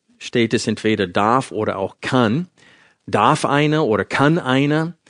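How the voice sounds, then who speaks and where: Against a quiet background, a man talks with ordinary pitch variation in a dry, close sound with no echo. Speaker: Bible teacher. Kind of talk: sermon.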